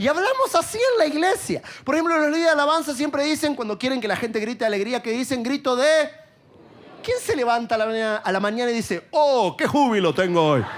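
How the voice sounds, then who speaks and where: A man with an Argentine accent talks at a very fast pace in an extremely high pitch. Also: lively intonation. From Argentina. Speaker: preacher. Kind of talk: sermon.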